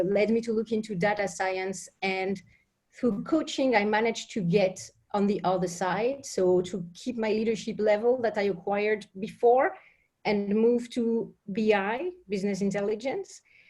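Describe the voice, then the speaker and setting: A woman in a French accent at a moderate pace, medium-pitched, with fairly even intonation. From France. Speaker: business intelligence professional. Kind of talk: question to panel.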